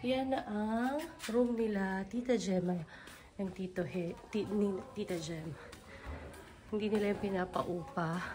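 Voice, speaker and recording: With audible room echo and noticeable background noise, a woman speaks with ordinary pitch variation and long, frequent pauses. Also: medium pitch for a woman. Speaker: travel vlogger. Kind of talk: vlog house tour. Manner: casual, animated. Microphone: voice quiet at times, then loud.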